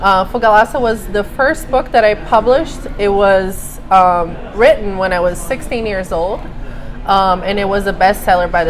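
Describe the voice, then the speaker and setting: A woman talks at a moderate speed while noticeable background noise runs behind her. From Brazil, Rio de Janeiro. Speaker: writer and journalist. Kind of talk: interview. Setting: live event with crowd.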